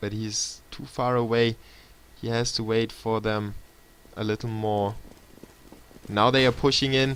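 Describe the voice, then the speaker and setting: A man speaks in a flat monotone at a medium pitch. His pace is fairly slow, with long, frequent pauses. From Germany, Munich. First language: German. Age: 20s. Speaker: esports caster. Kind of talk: live commentary. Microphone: laptop stream.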